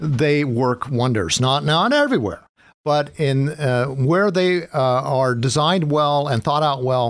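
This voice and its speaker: A man with an American accent has an unremarkable speaking voice at a medium pitch with ordinary pitch variation. The recording is very clean, with a silent background. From western Pennsylvania. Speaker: academic, rail advocate. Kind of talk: radio interview.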